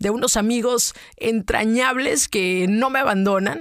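In a very clean recording with a silent background, a woman with a Mexican accent speaks with lively intonation. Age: 40s. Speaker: podcaster. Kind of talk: personal monologue. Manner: animated.

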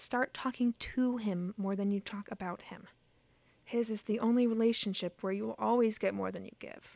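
With an American accent, a woman speaks at a moderate pace in an unremarkable speaking voice of fairly high pitch, with big swings in loudness and a dry, close sound with no echo. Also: fairly even intonation. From rural Indiana, US Midwest. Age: 20s. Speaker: musical theater student. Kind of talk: casual interview chat; reading aloud her letter.

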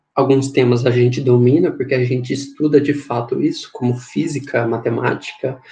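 A man speaks with a dark, mellow, somewhat breathy tone. His intonation is monotone and flat, at a moderate pace. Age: 20s. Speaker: engineering physics student, podcast co-host. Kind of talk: casual chat.

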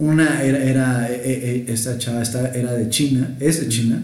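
A man's medium-pitched voice with a Mexican accent, amid audible room echo and noticeable background noise. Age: 30s. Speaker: podcast co-host. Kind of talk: casual chat.

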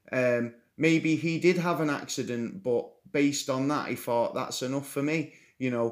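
The man speaks at a moderate pace with a fairly high pitch. His pitch variation is ordinary. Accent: English. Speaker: podcast host. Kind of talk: casual chat.

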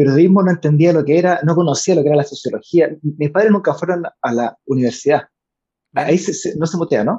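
A fairly high, dark and mellow male voice at a fairly quick pace, with ordinary pitch variation. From Chile, Valparaíso / Viña del Mar. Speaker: political candidate and NGO director. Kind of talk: interview.

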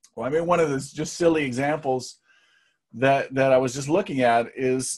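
A man speaks at a medium pitch with an unremarkable speaking voice. His intonation stays fairly even. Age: middle-aged. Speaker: marketing entrepreneur. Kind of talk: casual interview.

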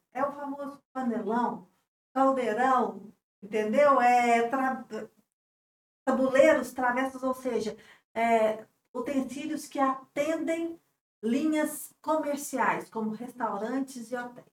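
Long, frequent pauses mark a woman's very slow speech, delivered in a high voice with fairly even intonation. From Divinópolis, Minas Gerais, Brazil. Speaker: business association president. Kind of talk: interview.

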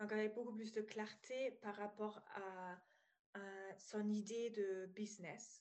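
A woman at a very slow pace, with a slight German accent. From Germany (former East). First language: German (speaking French). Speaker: psychologist and business coach. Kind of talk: podcast interview. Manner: hesitant, many fillers.

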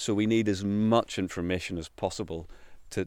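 Here a man speaks with a Northern Irish accent in a monotone, flat intonation. The pace is moderate, and the recording is very clean with a silent background. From Northern Ireland. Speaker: countryside ranger. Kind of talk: interview. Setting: outdoors.

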